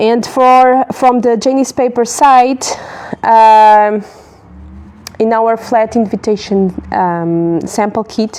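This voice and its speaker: A woman speaks with a non-native accent in a dark, mellow tone. Her pitch is fairly high and her pace very slow. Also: ordinary pitch variation. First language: not English. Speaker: paper stationery business owner. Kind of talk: live tutorial. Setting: livestream. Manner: halting, many fillers and restarts.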